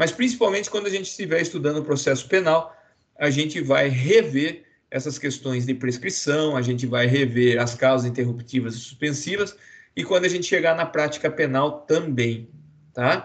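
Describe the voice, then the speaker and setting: A man talks in an ordinary speaking voice, his fairly high pitch rising and falling with lively intonation while he keeps a moderate pace. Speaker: law professor. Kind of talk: online lecture.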